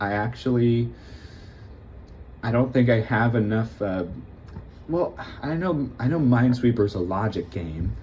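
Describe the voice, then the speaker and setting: A soft-spoken man at a medium pitch with lively intonation, a moderate pace and long, frequent pauses. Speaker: gaming youtuber. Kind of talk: casual gameplay commentary. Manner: halting.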